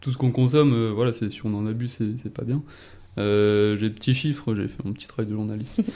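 Dark and mellow in tone, a man's medium-pitched voice moves at a fairly quick pace with fairly even intonation. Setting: radio studio.

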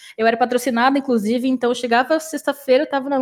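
A woman's high-pitched voice, very fast in pace, with fairly even intonation. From Brazil, São Paulo state. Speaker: esports caster. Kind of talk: casual chat.

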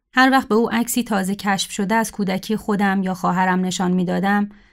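Recorded very cleanly with a silent background, a woman with an unremarkable speaking voice talks at a fairly quick pace and a medium pitch. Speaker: writer. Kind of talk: reading aloud.

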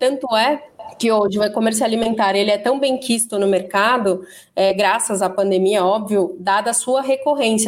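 A woman uses an ordinary speaking voice at a moderate pace. Her pitch is fairly high, with fairly even intonation. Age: 30s. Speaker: e-commerce manager. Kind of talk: interview.

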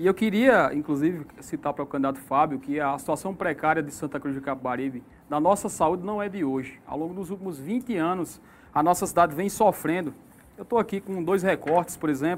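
This man has a normal speaking voice, fairly high in pitch. He talks at a fairly quick pace with ordinary pitch variation. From Sertão da Paraíba, northeast Brazil. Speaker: mayoral candidate. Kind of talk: political debate. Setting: radio/online studio.

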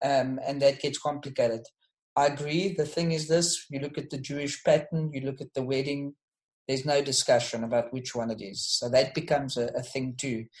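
A man talks with a somewhat breathy voice and fairly even intonation. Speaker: discussion leader. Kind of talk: closing reflection. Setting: online group call.

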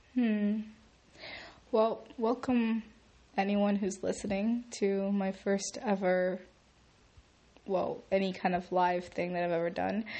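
A woman speaking at a very slow pace with long, frequent pauses. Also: medium pitch for a woman, fairly even intonation. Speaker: first-time podcaster. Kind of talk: casual monologue. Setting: home recording in echoey room. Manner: halting.

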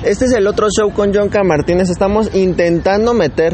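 Amid noticeable background noise, a man speaks at a moderate pace with an upbeat tone. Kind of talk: radio DJ patter introducing songs between tracks. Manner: chatty, improvised and upbeat, rambling and self-correcting, with casual Mexican slang.

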